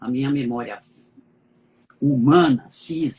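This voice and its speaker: Medium-pitched male speech, with ordinary pitch variation. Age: 70s. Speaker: law professor. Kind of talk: interview.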